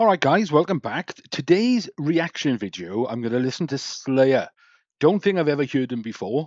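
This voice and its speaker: A man with an English accent speaks at a moderate pace and a fairly high pitch, his pitch swinging very widely, in a dry, close sound with no echo and a quiet background. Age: 60s. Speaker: YouTube reactor. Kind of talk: reaction commentary.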